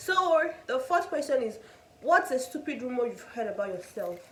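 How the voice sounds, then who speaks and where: Over noticeable background noise and audible room echo, a woman with a Nigerian accent speaks at a moderate pace in a high voice with very wide pitch swings. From Nigeria, Igbo (Enugu). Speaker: student vlogger. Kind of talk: casual chat.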